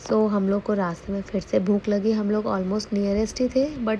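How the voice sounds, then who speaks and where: Noticeable background noise behind a woman of medium pitch, at a moderate pace with fairly even intonation. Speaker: vlogger. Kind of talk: travel vlog voiceover.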